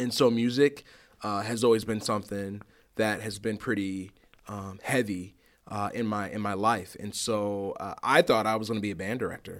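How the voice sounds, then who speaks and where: This man has a fairly low pitch and a plain, everyday voice, talking at a moderate pace with fairly even intonation. The recording is very clean, with a silent background. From Rockford, Illinois, US Midwest. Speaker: middle school principal. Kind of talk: interview. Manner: many fillers and repetitions.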